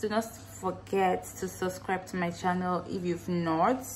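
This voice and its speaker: Light background noise sits behind a woman whose voice is somewhat breathy. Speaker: vlogger. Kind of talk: casual vlog chat. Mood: relaxed, a bit wistful. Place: kitchen. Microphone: phone near.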